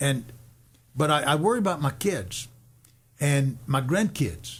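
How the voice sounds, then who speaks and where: This man's voice is fairly high and somewhat breathy. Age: 70s. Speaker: radio host and worship leader. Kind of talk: radio talk show discussion. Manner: halting, repetitive.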